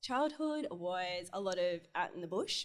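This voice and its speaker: A woman of medium pitch talks with an Australian accent. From Australia, rural Newcastle area (Minmi). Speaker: interior designer. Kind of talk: casual interview chat.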